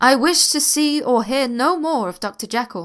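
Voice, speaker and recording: In a loud, shaky, put-on character voice, a woman speaks at a high pitch and a moderate pace. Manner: agitated, vehement.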